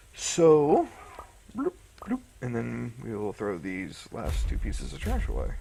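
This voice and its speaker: There is noticeable background noise as a man talks at a fairly slow pace with long, frequent pauses. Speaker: gaming youtuber. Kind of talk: gameplay commentary. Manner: casual, hesitant; mumbling.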